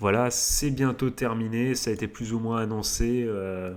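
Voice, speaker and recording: Fairly even intonation in a male voice of medium pitch. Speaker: anime and manga YouTuber. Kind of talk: casual vlog chat. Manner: loud.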